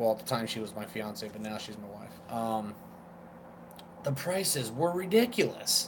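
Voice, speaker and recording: With audible room echo, a man with an American accent speaks at a fairly quick pace with lively intonation. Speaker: vape reviewer. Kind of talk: casual chat. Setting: live stream.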